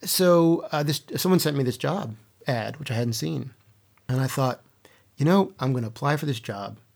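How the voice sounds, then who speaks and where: This man has a fairly high pitch and a Mid-Atlantic accent. He talks at a moderate pace with lively intonation. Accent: American, Mid-Atlantic. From US East Coast, Baltimore. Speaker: poet and creative writing professor. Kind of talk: interview conversation.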